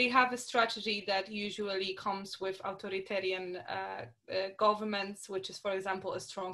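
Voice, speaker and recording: Bright, sharp tone with a Polish accent, big swings in loudness, ordinary pitch variation and hardly any pauses. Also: woman. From Poland. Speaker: artist and activist. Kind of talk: interview. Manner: halting.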